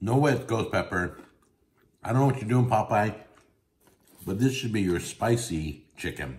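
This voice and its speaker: His voice has a somewhat breathy quality. The man's pitch varies in an ordinary way at a moderate pace. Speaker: food reviewer. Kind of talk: casual food review vlog. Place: home room. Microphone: phone near.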